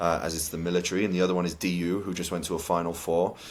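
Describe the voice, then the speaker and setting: With a Welsh accent, a man speaks very fast in a very deep, low voice and a monotone, flat intonation. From Cardiff, Wales. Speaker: college soccer head coach. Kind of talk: interview answer.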